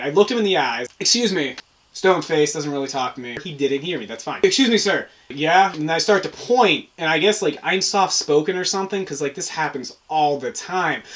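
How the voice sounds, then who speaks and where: Against noticeable background noise, a man talks at a fairly quick pace with lively intonation. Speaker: vlogger. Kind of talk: casual chat. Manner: soft-spoken.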